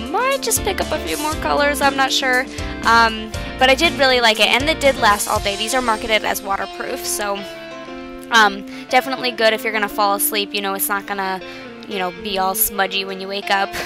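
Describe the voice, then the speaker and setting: A woman talks at a fairly quick pace. Clear music plays in the background of the dry sound with no echo. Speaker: beauty vlogger. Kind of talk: tutorial. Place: home room. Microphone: webcam.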